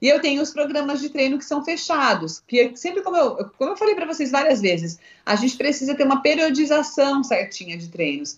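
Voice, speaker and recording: A woman's high voice with very wide pitch swings, moving at a fairly quick pace. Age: 30s. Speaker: fitness instructor. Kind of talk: live stream interview.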